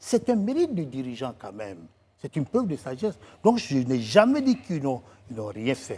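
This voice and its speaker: At a moderate pace, a fairly high-pitched man with a dark, mellow, somewhat breathy tone makes very wide pitch swings and big swings in loudness. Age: 60s. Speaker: writer and political commentator. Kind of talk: TV talk show interview. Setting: TV studio.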